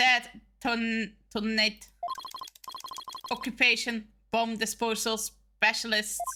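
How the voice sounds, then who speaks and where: In a put-on, robotic character voice, the speaker uses a fairly high pitch and monotone, flat intonation, moving at a very slow pace with long, frequent pauses. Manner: flat, typed speech.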